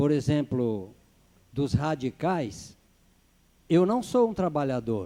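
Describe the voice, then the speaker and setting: A man with a fairly high pitch and a dark, mellow tone, at a fairly slow pace with very wide pitch swings. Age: 60s. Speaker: city councillor. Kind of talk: council session debate.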